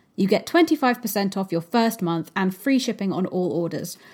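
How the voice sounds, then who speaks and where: A woman speaks in an unremarkable speaking voice at a medium pitch. Her pace is moderate and her intonation lively. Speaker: podcast host. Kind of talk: podcast interview, intro and outro. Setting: remote recording via Zoom.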